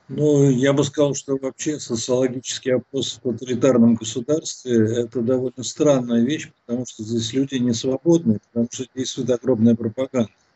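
Monotone, flat delivery with hardly any pauses, over a quiet background. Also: man, medium pitch for a man, moderate pace. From Russia. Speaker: philosopher and sociologist; guest commentator. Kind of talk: political interview. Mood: calm analytical. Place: home room. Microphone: bad connection; video call.

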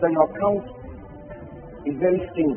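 A man speaks with music playing in the background. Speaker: preacher. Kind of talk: sermon teaching to a congregation. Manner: emphatic, direct address.

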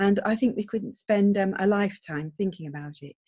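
Against a quiet background, a woman speaks in a dark, mellow tone that is somewhat breathy. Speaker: webinar speaker. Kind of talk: lecture. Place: home room. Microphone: webcam.

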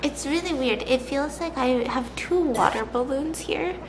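A woman at a high pitch, speaking at a fairly slow pace amid noticeable background noise. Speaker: vlogger. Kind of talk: casual vlog chat. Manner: slightly muffled speech, swollen jaw. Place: kitchen.

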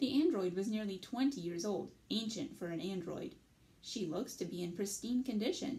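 The intonation has a lively quality. The text is read aloud in a natural voice.

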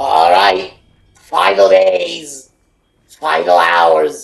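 A put-on character voice pitched low. It moves at a very slow pace. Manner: menacing, theatrical.

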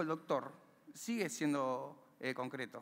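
A man with an Argentine accent. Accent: Rioplatense Argentine Spanish. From Argentina, Buenos Aires area (villa La Cárcova, San Martín); Buenos Aires, Argentina. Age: 30s. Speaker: community library founder, former prisoner; speaker. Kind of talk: motivational talk; inspirational talk. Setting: stage with audience. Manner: halting, frequent repetitions. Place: stage. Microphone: headset.

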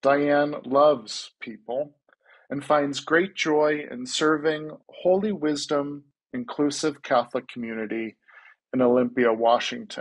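The background stays quiet. A man is speaking at a fairly slow pace. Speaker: event host. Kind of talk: moderated Q&A. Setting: video call. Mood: warm, friendly. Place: home room. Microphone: earbuds.

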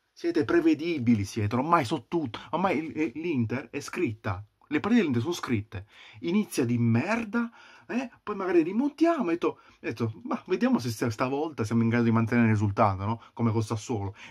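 Shouting at a fairly quick pace, a man uses a fairly high pitch with very wide pitch swings. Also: quiet background. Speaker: football fan vlogger. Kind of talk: angry rant, furious fan tirade. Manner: shouting, furious, ranting; repetitive, exasperated, swearing. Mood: angry, frustrated. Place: home room. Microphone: webcam.

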